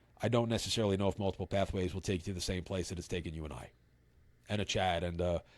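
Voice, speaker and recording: A man talks very fast with a New York accent. The recording is very clean, with a silent background. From New York City (Brooklyn). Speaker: recovery advocate. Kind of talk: podcast interview. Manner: halting.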